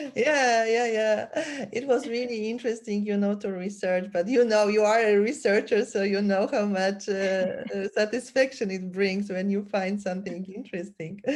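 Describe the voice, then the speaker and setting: A woman with a Polish accent, medium pitch and fairly even intonation, at a moderate pace with hardly any pauses. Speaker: podcast host. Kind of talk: interview conversation.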